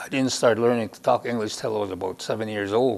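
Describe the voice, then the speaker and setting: Intonation stays fairly even as a man speaks with a Lakota accent. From Lakota First Nation, Saskatchewan, Canada. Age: 70s. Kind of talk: personal storytelling interview. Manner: halting.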